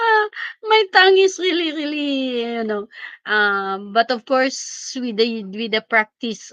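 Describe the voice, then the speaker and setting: Speaking at a very slow pace, a woman with a fairly high pitch makes very wide pitch swings in a dry, close recording with no echo. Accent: Filipino. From Philippines. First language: Filipino language. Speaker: teacher and live streamer. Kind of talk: casual live stream chat. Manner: halting.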